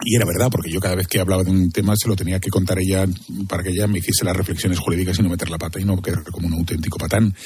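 A man speaks very fast in a very deep, low voice with a monotone, flat delivery over noticeable background noise. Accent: Castilian. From Spain. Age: 50s. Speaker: crime journalist. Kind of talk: interview.

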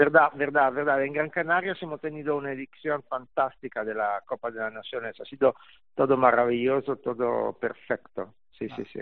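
Speaking in an Italian accent, a man uses a fairly high pitch and a moderate pace. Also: ordinary pitch variation. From Italy. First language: Italian (speaking Spanish). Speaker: golf journalist and tournament organizer. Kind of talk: interview.

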